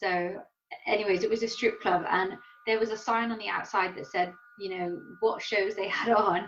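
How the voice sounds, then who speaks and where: A woman's medium-pitched voice with an English accent. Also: moderate pace. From England. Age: 30s. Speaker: professional Muay Thai fighter. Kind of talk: interview. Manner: animated.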